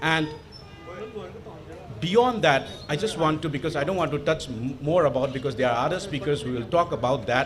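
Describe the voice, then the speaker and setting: A man with a Manipur accent, fairly high-pitched for a man, lively intonation, noticeable background noise. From Manipur, northeast India. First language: Manipuri. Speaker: panel speaker, international relations academic. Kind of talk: panel talk. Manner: halting, many fillers.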